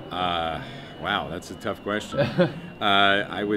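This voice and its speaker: Against noticeable background noise, a man with an American accent speaks very slowly at a fairly low pitch, his intonation fairly even. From United States. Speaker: voice actor, writer and comedian. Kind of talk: interview answer. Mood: relaxed, thoughtful. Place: hall.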